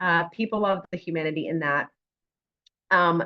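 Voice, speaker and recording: The voice is loud, with a bright, sharp tone and ordinary pitch variation. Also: woman. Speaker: on-camera coach and actress. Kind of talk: workshop presentation. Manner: animated.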